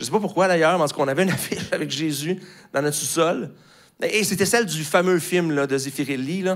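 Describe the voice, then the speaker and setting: A man's fairly high-pitched voice, fairly quick pace and ordinary pitch variation, over a quiet background. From Quebec. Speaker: pastor. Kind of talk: sermon. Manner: hesitant with many fillers. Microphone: handheld.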